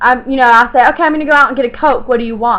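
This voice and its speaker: A woman with a Southern US accent speaks at a high pitch. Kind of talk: casual talk to camera.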